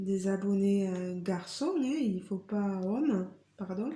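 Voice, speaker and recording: Here is a woman with a dark, mellow tone. She speaks at a very slow pace. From southwest France, Tarn (Carmaux). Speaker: craft YouTuber. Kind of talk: casual Q&A vlog. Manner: hesitant, many fillers.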